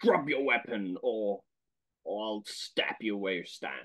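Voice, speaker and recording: A booming, put-on character voice from a man at a medium pitch, delivered at a fairly slow pace. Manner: commanding, threatening.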